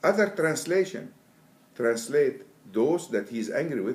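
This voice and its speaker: Vocal fry runs through a man's fairly high voice, which swings very widely in pitch. He speaks at a moderate pace in an Arabic accent. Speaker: Quran translator. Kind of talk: interview. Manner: halting.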